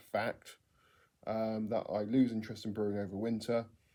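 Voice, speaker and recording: A man with an English accent speaks at medium pitch in a dark, mellow tone with monotone, flat intonation. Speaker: home brewer vlogger. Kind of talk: casual vlog monologue. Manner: hesitant with many ums.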